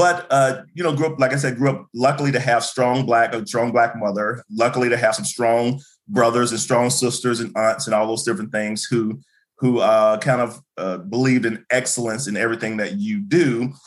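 The speaker is a man with an ordinary speaking voice and a medium pitch. He talks at a moderate pace with ordinary pitch variation. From US South, Birmingham, Alabama. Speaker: university administrator and educator. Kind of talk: interview.

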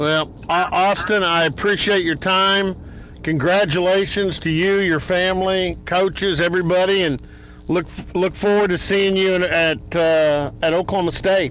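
With a Texan accent, a man talks at a fairly slow pace in a high voice, his intonation flat and monotone and his loudness very even. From Texas, Dallas area. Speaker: sports radio host. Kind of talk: interview.

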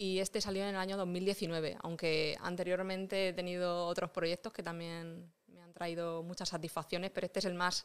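In a very clean recording with a silent background, a woman speaks at a moderate pace in a fairly low pitch, her intonation monotone and flat. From Vega Baja del Segura, Alicante, Spain (Rojales). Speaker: illustrator and paranormal investigator. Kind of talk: casual interview.

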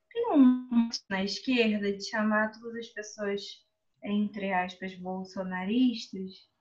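Over background music, a woman talks in a fairly high voice with ordinary pitch variation. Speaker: member of a reading/study group. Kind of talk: casual group discussion. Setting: video call.

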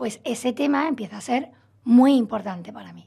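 A woman speaks fairly slowly with vocal fry, her dark, mellow voice showing ordinary pitch variation. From Spain, Málaga (Andalusia). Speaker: psychologist. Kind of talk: radio interview, expert explanation.

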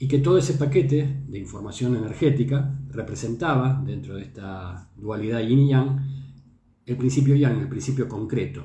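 Speaking at a moderate pace in a room with audible echo, a man has a medium pitch, ordinary pitch variation, a dark, mellow tone, a somewhat breathy quality and big swings in loudness. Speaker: traditional Chinese medicine teacher and show host. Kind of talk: lecture. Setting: live stream.

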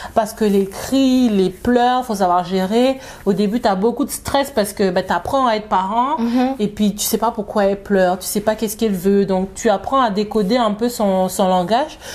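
A woman has an unremarkable speaking voice, pitched fairly high, with ordinary pitch variation. She keeps a moderate pace with hardly any pauses. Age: 30s. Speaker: new mother, community group founder. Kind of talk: casual interview. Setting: living room at home.

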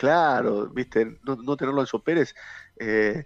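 A man speaks at a moderate pace. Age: 40s. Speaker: former footballer. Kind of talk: interview. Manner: halting, many repeated words.

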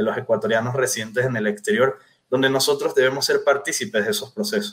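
A man's medium-pitched voice rushes along very fast, its pitch moving in an ordinary way. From Venezuela. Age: 30s. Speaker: political candidate. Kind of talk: interview.

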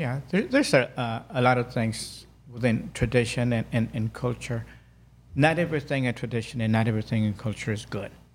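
A somewhat breathy, medium-pitched male voice with ordinary pitch variation, in a very clean recording with a silent background. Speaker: life coach. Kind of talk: casual interview. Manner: slow, calm, deliberate.

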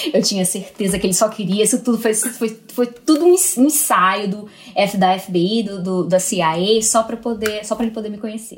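At a moderate pace with hardly any pauses, a woman uses a normal speaking voice, fairly high in pitch with ordinary pitch variation. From Brazil, Northeast (Natal, Rio Grande do Norte). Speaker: newborn care specialist. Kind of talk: casual interview.

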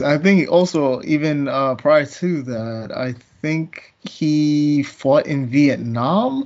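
A man with an American accent talks very slowly in a fairly high voice. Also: hardly any pauses. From US East Coast. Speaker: comics podcast co-host. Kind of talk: casual chat.

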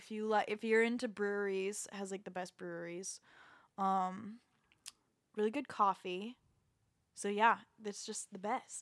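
A woman's monotone, flat delivery at a medium pitch in an American accent, fairly slow, with long, frequent pauses and big swings in loudness. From Florida, Jacksonville. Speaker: singer and voice teacher. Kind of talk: casual chat.

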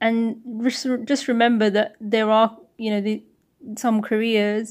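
A woman speaks with a British accent at a fairly high pitch, her intonation monotone and flat. The recording is very clean, the background silent. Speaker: school teacher. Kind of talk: interview.

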